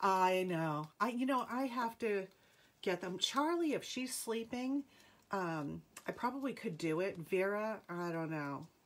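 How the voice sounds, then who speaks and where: An American accent marks this woman's fairly slow speech, which moves in very wide pitch swings. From New England. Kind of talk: live sales stream. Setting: home livestream. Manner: upbeat. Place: home room. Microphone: phone near.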